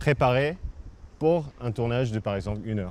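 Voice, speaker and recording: This is a man's voice at a medium pitch. His pitch variation is ordinary. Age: 30s. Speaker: TV fixer and producer. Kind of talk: interview. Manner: halting, many hesitations.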